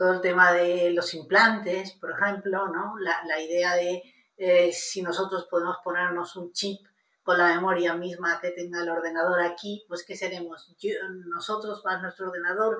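A fairly low-pitched woman at a moderate pace, intonation monotone and flat. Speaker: bioethics professor. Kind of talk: interview.

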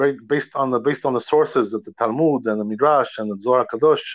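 Someone with an American accent talks at a fairly quick pace in a plain, everyday voice. Pitch varies in an ordinary way, and the background is quiet. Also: man. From New York, raised from Georgia. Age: 50s. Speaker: rabbi. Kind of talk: religious lecture. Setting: phone call.

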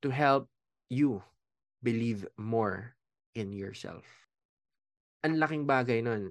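In a dry, close recording with no echo and a quiet background, a man of medium pitch talks at a fairly slow pace. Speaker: life coach and podcast host. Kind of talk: solo podcast monologue. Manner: casual, conversational.

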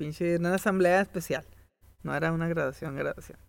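This man talks at a high pitch in a Mexican accent. His intonation stays fairly even. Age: 20s. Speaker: podcast co-host. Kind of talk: casual chat. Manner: halting.

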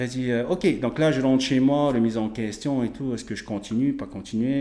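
A man with an unremarkable speaking voice talks fairly slowly at a medium pitch. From French Polynesia. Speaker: strength athlete and naturopath. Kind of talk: casual interview.

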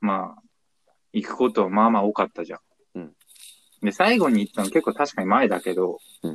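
A man's voice with very wide pitch swings at a moderate pace, dry and close with no echo. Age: 20s. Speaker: podcast co-host. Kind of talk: casual chat. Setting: phone call.

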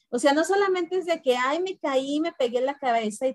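Dry, close sound with no echo, a woman speaking at a moderate pace. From Mexico, Guanajuato. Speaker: teacher and book club co-host. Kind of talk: casual chat about a book.

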